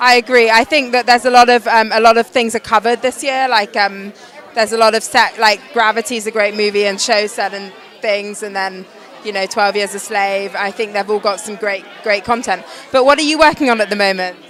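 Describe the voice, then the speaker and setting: Over crowd noise in the background, a woman with an English accent speaks at a fairly quick pace, her fairly high pitch held in fairly even intonation. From England. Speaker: event correspondent. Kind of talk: casual chat.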